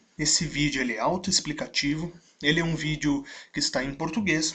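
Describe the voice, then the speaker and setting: A man speaks at a moderate pace. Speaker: business consultant, online instructor. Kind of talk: video lecture.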